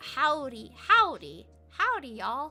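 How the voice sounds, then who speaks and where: A high-pitched put-on character voice at a fairly slow pace, with faint music in the background. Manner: jovial greeting.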